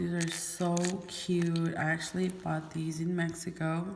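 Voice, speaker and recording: Audible room echo surrounds a fairly slow delivery with monotone, flat intonation. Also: woman. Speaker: beauty vlogger. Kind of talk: product haul video. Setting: garage. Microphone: echo in the room.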